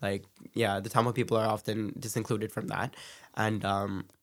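An unremarkable speaking voice, a man's with a Canadian accent comes through at a fairly low pitch with fairly even intonation on a very clean recording with a silent background. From Canada, Brampton, Ontario. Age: 20s. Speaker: dancer. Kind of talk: casual interview.

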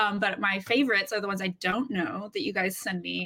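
A woman with an American accent speaks at medium pitch with vocal fry. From Alabama, US. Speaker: artist. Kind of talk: casual chat.

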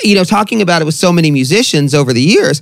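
A man talks with a Southern Californian accent at a fairly quick pace. His pitch swings very widely. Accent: Southern California American. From Long Beach, California. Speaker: podcast interviewer. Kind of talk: casual interview chat, with swearing. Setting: video call.

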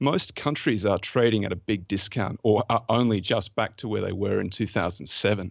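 With hardly any pauses, a man in an Australian accent speaks at a fairly quick pace, his pitch fairly low with ordinary variation. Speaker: fund manager and former lawyer. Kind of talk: interview conversation about investing.

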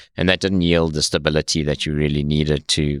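Recorded very cleanly against a silent background, with a dry, close sound with no echo, a man with a South African accent talks at a fairly quick pace in a very deep, low pitch. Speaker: tech company founder. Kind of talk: interview. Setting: studio.

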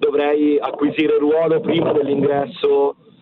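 With fairly even intonation, a man talks at a fairly slow pace amid noticeable background noise. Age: 40s. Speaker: teacher. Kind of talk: radio call-in. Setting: phone call.

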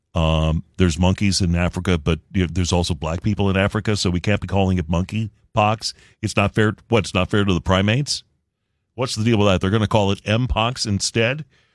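Speaking at a fairly quick pace with a normal speaking voice, a man with fairly low pitch and ordinary pitch variation is heard in a very clean, silent recording that sounds dry and close with no echo. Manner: brisk, polished and steady, like a practiced morning news anchor.

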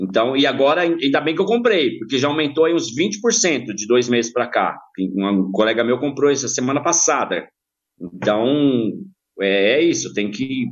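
This man has an ordinary speaking voice with lively intonation. He talks at a fairly slow pace. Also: medium pitch for a man. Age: 50s. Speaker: football supporter group member, insurance broker. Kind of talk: podcast interview.

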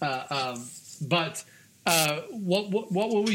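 The speaker is a man. His pitch varies an ordinary amount. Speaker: podcast host. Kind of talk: casual chat; radio DJ patter, mock-formal station ident. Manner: playful, jokey, announcer-style delivery; animated, talkative.

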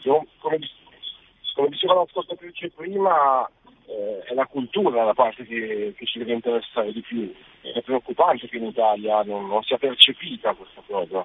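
Speaking at a moderate pace and medium pitch, a man uses lively intonation with big swings in loudness. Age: 40s. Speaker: caller, university graduate. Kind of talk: phone-in opinion. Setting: phone call. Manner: halting, repeating words.

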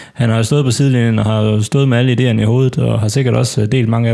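Using fairly even intonation, a man with a dark, mellow tone talks at a fairly quick pace. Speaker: football fan panelist. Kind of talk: casual football discussion. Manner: halting, many filler words.

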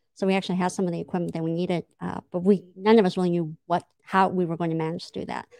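In an American accent, a woman with a fairly low pitch talks at a very fast pace, the sound dry and close with no echo. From US West Coast (San Diego area). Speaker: city manager. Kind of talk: interview.

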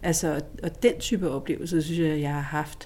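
A woman's voice, fairly low in pitch with a dark, mellow tone, moves with ordinary pitch variation. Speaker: lawyer. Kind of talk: interview. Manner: laughs loudly.

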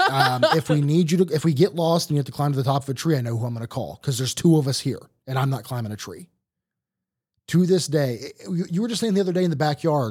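Somewhat breathy and fairly high-pitched, a man with an American accent talks very fast with lively intonation. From Ohio. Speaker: podcast host. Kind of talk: casual chat.

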